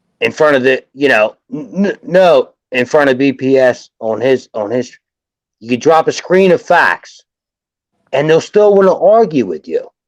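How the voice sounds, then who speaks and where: A man's fairly high voice with a Philadelphia accent, very wide pitch swings, a fairly slow pace, and a dry, close sound with no echo. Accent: Philadelphia-area American English. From South Jersey, US. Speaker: sports fan commentator. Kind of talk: casual sports chat on livestream. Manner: animated, repetitive restarts.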